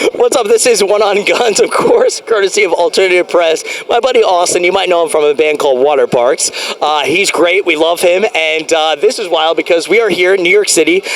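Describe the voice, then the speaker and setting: Against noticeable background noise, a high-pitched man speaks fairly quickly in an animated tone, with ordinary pitch variation and very even loudness. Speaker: interview show host. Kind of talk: casual interview chat. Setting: outdoors in a city park. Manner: fast.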